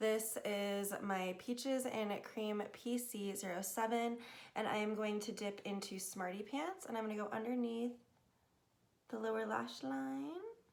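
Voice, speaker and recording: A woman's fairly high-pitched voice is heard with noticeable background noise around it. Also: ordinary pitch variation. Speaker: beauty vlogger. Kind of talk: makeup tutorial talk to camera. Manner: quieter than normal.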